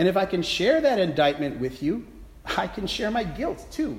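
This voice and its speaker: A high-pitched man's voice at a moderate pace, with audible room echo. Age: 50s. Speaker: priest. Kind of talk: sermon. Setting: church.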